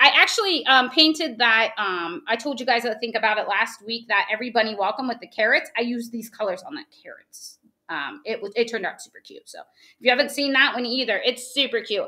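Over a quiet background, a woman with an American accent talks at a fairly quick pace in a high, bright, sharp voice, her intonation lively, her loudness swinging widely and hardly any pauses between words. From West Virginia. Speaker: craft tutorial host. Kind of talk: live craft tutorial. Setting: live video stream. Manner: fast talker; animated. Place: home room.

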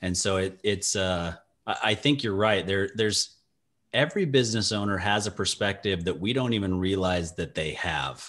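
With an American accent, a man speaks at a moderate pace in a very deep, low voice against a quiet background. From Utah. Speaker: radio show host, financial advisor. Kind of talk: interview. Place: office. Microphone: video call.

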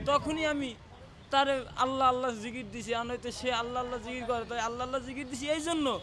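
A man with an extremely high pitch uses a raised, projected voice in monotone, flat intonation. Audible room echo and noticeable background noise fill the recording. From Bangladesh, Barisal. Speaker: struggling laborer. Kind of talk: street interview testimony.

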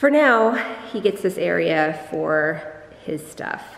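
A woman talks with lively intonation. Room echo is audible. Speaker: homeowner vlogger. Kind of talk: casual vlog house tour. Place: empty room. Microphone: phone near.

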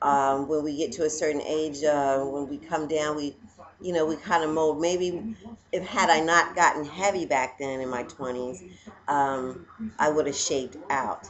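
This woman's voice is very deep and low, with ordinary pitch variation. She speaks at a moderate pace over light background noise. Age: 40s. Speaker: vlogger. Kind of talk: casual vlog monologue. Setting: at home. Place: home room. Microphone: webcam.

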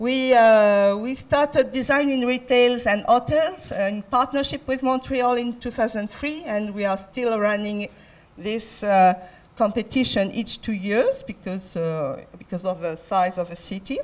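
At a fairly slow pace, a woman with a French accent talks in a fairly high pitch with ordinary pitch variation. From France. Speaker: design centre international affairs head; conference speaker. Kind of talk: conference talk. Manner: halting. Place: hall. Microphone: handheld.

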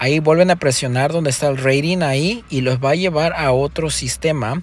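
A moderate pace and ordinary pitch variation. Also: man. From Mexico, Zihuatanejo, Guerrero. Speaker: rideshare driver and video tutorial host. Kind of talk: tutorial. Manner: casual, hesitant with fillers and repetitions.

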